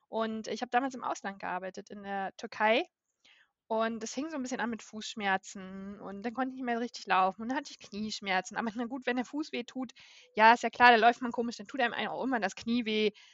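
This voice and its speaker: Using a normal speaking voice, a woman talks at a fairly quick pace with a fairly high pitch. Her pitch varies an ordinary amount, while her loudness swings widely. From northern Germany, Baltic coast. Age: 30s. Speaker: patient with a chronic illness. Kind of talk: interview. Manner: frequent filler sounds.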